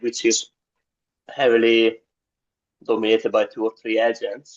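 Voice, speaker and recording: A man with a strong non-native accent speaks at a moderate pace. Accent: thick foreign. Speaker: new real estate agent. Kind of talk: question in coaching call. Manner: halting.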